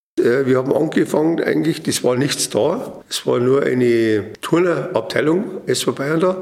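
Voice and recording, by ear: At a moderate pace, a man talks at medium pitch with ordinary pitch variation, a slightly mellow tone and vocal fry.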